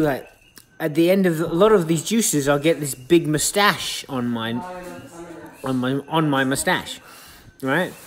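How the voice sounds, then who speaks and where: A man talks at a moderate pace with ordinary pitch variation, leaving long, frequent pauses over light background noise. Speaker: vlogger. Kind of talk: casual vlog chat. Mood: euphoric, enthusiastic. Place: kitchen. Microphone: phone near.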